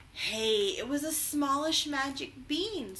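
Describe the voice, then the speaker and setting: A woman uses a put-on character voice with a high pitch, speaking at a fairly slow pace over clear background noise. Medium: read story.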